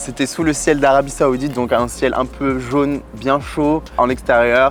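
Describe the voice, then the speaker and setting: A man's medium-pitched voice is heard along with noticeable background noise. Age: 20s. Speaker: professional dancer and model. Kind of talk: interview answers, casual. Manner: casual, hesitant with fillers.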